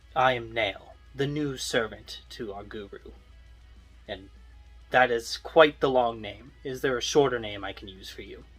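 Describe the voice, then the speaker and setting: Putting on a character voice at medium pitch, a man speaks with big swings in loudness and long, frequent pauses while faint music plays in the background. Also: moderate pace. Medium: solo performance. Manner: polite, measured.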